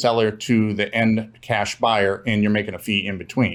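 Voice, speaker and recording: In a very clean recording with a silent background, a man with a Minnesotan accent speaks at a fairly low pitch with fairly even intonation. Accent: Minnesota. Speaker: real estate investor. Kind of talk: interview.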